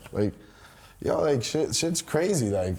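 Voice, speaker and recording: A man's dark, mellow tone in a New York accent, delivered at a fairly quick pace. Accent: New York City. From New York City, Washington Heights. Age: 20s. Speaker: rapper. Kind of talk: casual interview.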